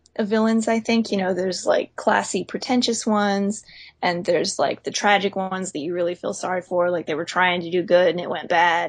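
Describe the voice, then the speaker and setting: Against a quiet background, a woman with an unremarkable speaking voice and an American accent talks fairly quickly at a medium pitch with fairly even intonation. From US South, Pensacola, Florida. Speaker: author. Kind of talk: casual chat.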